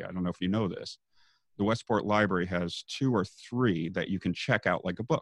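In a quiet setting with a dry, close sound and no echo, a man speaks in a very deep, low pitch with ordinary pitch variation. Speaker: ukulele teacher and YMCA worker. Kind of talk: casual interview chat.

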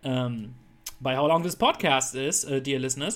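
This is a man speaking with a German accent. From Germany. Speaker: podcast host. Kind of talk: casual chat.

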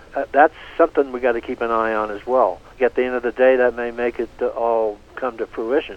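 A man's plain, everyday voice at medium pitch, fairly quick in pace, with fairly even intonation. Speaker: space journalist and author. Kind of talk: casual interview.

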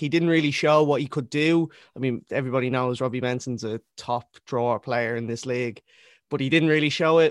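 With a Dublin accent, a man speaks at a fairly quick pace. The sound is dry and close, with no echo. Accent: Dublin Irish. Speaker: rapper and football fan. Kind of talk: casual chat. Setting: video call.

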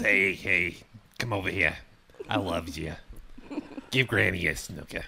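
A raspy, low put-on character voice moves at a moderate pace, broken by long, frequent pauses. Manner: affectionate, gravelly.

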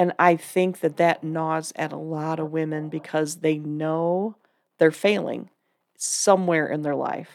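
A woman speaks in a very deep, low voice with a flat, monotone delivery on a very clean recording with a silent background. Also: fairly slow pace. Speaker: women's ministry teacher. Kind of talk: casual chat. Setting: studio. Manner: calm, even-keeled.

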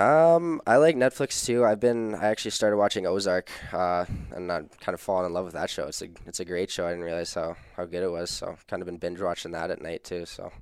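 This man has an ordinary speaking voice with a fairly low pitch. He talks at a fairly quick pace with lively intonation. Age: young. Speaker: junior hockey player. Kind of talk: interview.

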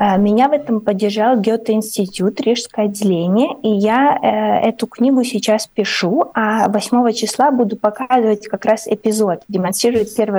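The speech is fairly slow, with fairly even intonation and a dark, mellow tone. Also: woman. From Ukraine. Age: 30s. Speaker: artist and writer. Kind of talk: radio interview. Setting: remote call into radio studio.

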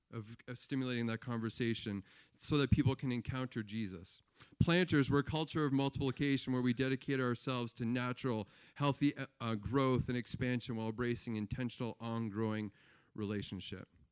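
A man with a Canadian accent uses a plain, everyday voice at medium pitch, talking at a fairly quick pace with fairly even intonation. The sound is dry and close, with no echo. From Eastern Ontario, Canada. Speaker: pastor. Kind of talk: testimony.

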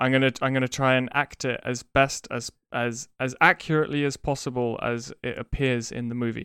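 A bright, sharp tone at a moderate pace, monotone and flat, with a dry, close sound and no echo. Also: man, medium pitch for a man. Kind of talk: casual chat. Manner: relaxed, hesitant, with many fillers.

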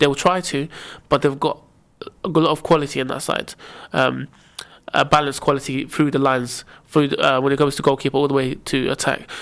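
A man's fairly high voice with vocal fry, flat monotone intonation and a fairly quick pace. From Egypt. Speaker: football podcast co-host. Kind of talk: casual chat.

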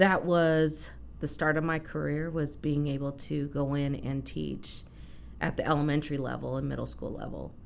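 Audible room echo surrounds a woman speaking at a moderate pace with an American accent. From Kansas. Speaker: business consultant. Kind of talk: casual interview.

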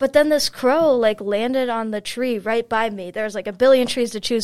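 A woman with an American accent speaks at a fairly quick pace in a fairly high voice with ordinary pitch variation, on a very clean recording with a silent background. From US Midwest, Chicago. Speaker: college student. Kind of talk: casual interview. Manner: animated.

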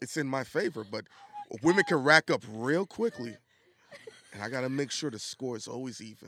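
A man with a New York accent, fairly quick but with long, frequent pauses and big swings in loudness, in a dry, close sound with no echo. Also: medium pitch for a man, lively intonation. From New York (Brooklyn). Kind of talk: casual chat.

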